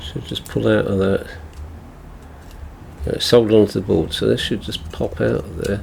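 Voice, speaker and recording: A man with an English accent at a moderate pace, with long, frequent pauses and noticeable background noise. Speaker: tech repair youtuber. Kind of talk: tutorial. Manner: mumbling; halting.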